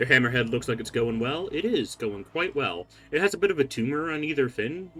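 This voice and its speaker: With music in the background, a man talks at a fairly quick pace with fairly high pitch and lively intonation. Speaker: game streamer. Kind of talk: live gameplay commentary. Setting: live stream. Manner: casual, rambling.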